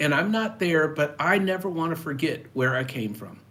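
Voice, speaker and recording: A man with a plain, everyday voice speaks at a moderate pace. His pitch is fairly high and his intonation is lively. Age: 60s. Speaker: personal finance YouTuber. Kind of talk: live stream talk to viewers. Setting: live stream. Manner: casual, with fillers.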